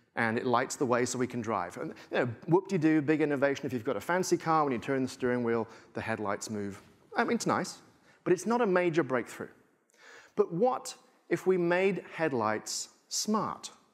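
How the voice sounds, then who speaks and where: A man with a strong English accent talks at a moderate pace. His fairly high voice moves in very wide pitch swings. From England. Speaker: tech futurist speaker. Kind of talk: conference keynote talk. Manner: animated.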